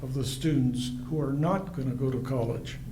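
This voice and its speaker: Audible room echo surrounds a man who speaks fairly slowly at a fairly high pitch. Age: 80s+. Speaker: forum moderator. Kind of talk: reading questions aloud.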